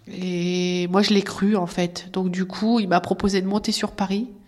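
Noticeable background noise behind a woman of medium pitch, talking at a fairly slow pace in a monotone, flat delivery. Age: 30s. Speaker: abuse survivor. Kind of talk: testimony. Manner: halting.

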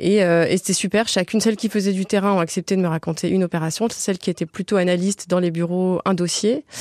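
A woman speaks at a fairly quick pace in a plain, everyday voice, medium in pitch with fairly even intonation and very even loudness. The recording is very clean, dry and close, with a silent background and no echo. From Toulouse, southern France. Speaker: journalist and author. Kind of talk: radio interview.

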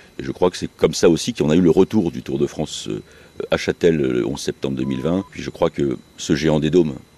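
Very deep, low male voice at a fairly quick pace amid noticeable background noise. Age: 50s. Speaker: local politician and cycling event host. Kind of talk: radio interview. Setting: outdoors in a park.

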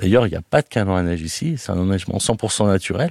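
Fairly quick and fairly low in pitch, this man's voice has a dark, mellow tone. His pitch variation is ordinary. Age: 40s. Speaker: restaurant owner. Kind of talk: interview testimony. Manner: hesitant, many fillers.

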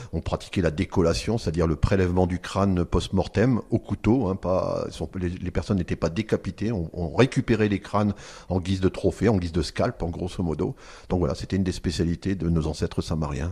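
A man's very deep, low, dark and mellow voice, somewhat breathy, at a fairly quick pace over a quiet background. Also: ordinary pitch variation. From France, Picardy (Amiens area). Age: 50s. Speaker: archaeologist. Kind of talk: radio interview. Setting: on-location recording at an archaeological centre. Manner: hesitant, with fillers and repetitions.

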